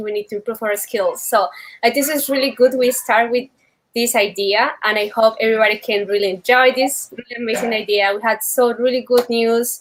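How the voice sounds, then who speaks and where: With a Colombian accent, a woman speaks at a fairly quick pace, her fairly high pitch held in fairly even intonation. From Colombia, Bucaramanga. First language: Spanish. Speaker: meetup organizer. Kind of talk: welcome speech. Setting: live video stream. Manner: halting.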